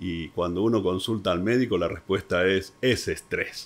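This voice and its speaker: A man with a plain, everyday voice speaks at a fairly low pitch and a moderate pace, with ordinary pitch variation. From Argentina. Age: 60s. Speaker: entrepreneur, real estate professional. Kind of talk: interview.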